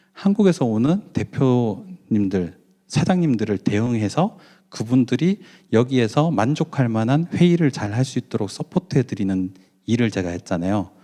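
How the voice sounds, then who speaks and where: Against a quiet background, a man with a dark, mellow tone and medium pitch speaks at a moderate pace with very wide pitch swings. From Daegu, South Korea. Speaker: business owner and mission lecturer. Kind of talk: conference lecture. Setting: conference hall with audience. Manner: conversational, with many fillers.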